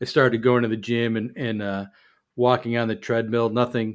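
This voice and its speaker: A man with an unremarkable speaking voice in an American accent, medium pitch and moderate pace, in a very clean recording with a silent background. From US Midwest, Chicago. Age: 50s. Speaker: podcast co-host, firefighter. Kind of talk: casual chat.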